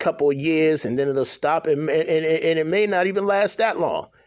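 This man's voice sits at a fairly high pitch. It shows ordinary pitch variation. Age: 40s. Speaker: podcast host. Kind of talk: casual monologue. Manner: halting.

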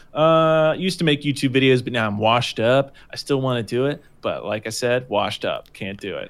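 A man's normal speaking voice at medium pitch, fairly quick with hardly any pauses, and with ordinary pitch variation. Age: 20s. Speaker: gaming podcast co-host and streamer. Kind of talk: casual chat. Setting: video call.

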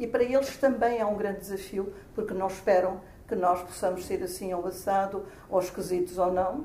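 A woman speaks at a moderate pace with ordinary pitch variation. Noticeable background noise and audible room echo fill the recording. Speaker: retired radio professional, amateur actor. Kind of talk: interview.

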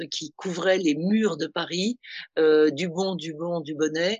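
A woman with a fairly low voice speaks in a fairly even intonation. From Tunisia. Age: 60s. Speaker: fashion consultant. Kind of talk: interview. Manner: hesitant, many fillers.

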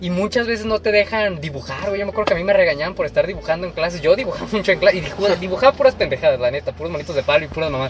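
The speaker talks very fast in a Mexican accent with lively intonation, over noticeable background noise. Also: man, high pitch for a man. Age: 20s. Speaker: podcast co-host. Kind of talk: casual chat.

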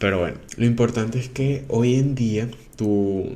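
A man at a very slow pace, fairly even intonation, and audible room echo around him. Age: 20s. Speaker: podcaster. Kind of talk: casual monologue. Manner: halting with fillers.

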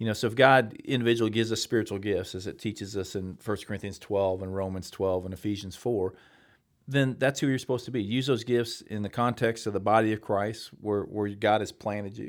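A man with an American accent, an ordinary speaking voice, fairly low pitch and fairly even intonation at a fairly quick pace, on a very clean recording with a silent background. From Missouri. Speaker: pastor. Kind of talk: interview. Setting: studio.

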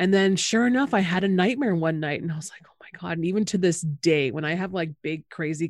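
The recording is very clean, with a silent background, and holds a woman's plain, everyday voice at a fairly low pitch. She speaks at a fairly quick pace with lively intonation. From Canada, Anishinaabe. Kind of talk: casual chat.

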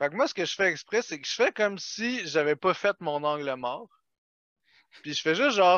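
At a moderate pace, a man with a Quebec accent speaks in a high pitch with lively intonation and long, frequent pauses. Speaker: podcast guest. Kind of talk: casual chat.

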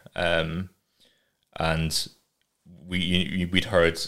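A man's very deep, low voice with an English accent and monotone, flat intonation. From England, raised in Scotland from age five. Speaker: artist and animator. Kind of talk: casual chat.

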